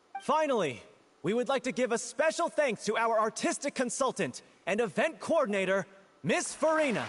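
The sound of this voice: A man performs a put-on character voice at an extremely high pitch with big pitch swings. His tone is fairly bright and his pace moderate.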